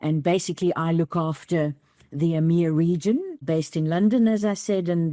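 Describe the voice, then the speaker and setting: A woman with a South African accent speaks at a moderate pace in a fairly low pitch, her tone dark and mellow, the sound dry and close with no echo. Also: very clean recording, silent background. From South Africa, rural east near Mozambique. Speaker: bank CEO. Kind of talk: interview.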